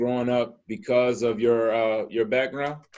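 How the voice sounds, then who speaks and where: A man speaks in an ordinary speaking voice. His intonation is fairly even. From Ohio, Youngstown. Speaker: podcast host. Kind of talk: casual chat. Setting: video call.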